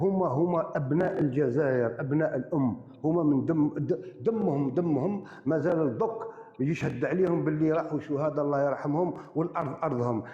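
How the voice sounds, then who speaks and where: A man keeps a moderate pace and ordinary pitch variation as noticeable background noise sounds around him. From Algeria, Boumerdes area. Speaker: live-stream debater. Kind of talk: heated debate. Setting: live stream.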